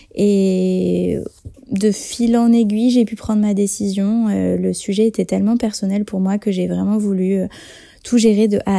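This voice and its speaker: A woman with a dark, mellow tone speaks at a medium pitch. Her pace is fairly slow and her intonation monotone and flat. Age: 30s. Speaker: author-illustrator. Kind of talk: testimony. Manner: hesitant, many fillers.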